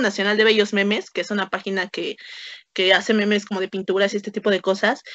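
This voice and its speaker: This woman's voice sits at a fairly high pitch. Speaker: anthropologist and meme creator. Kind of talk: casual interview.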